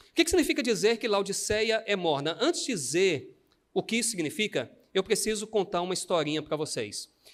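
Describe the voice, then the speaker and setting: In a Brazilian accent, a man talks at a fairly quick pace in a high pitch, his animated tone marked by very wide pitch swings. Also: big swings in loudness. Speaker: pastor. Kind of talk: sermon.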